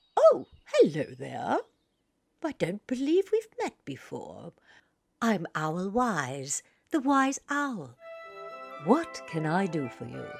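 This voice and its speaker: A put-on character voice at a middle pitch moves at a very slow pace with long, frequent pauses as faint music plays in the background. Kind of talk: children's theater character voice. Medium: read story. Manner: hooting, fussy, affectionate.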